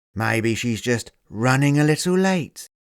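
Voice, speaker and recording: A man puts on a gruff character voice at a medium pitch. He talks at a fairly slow pace with lively intonation. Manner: condescending.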